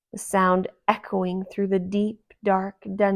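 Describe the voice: Someone reads a text aloud in a plain manner, and the surroundings stay quiet.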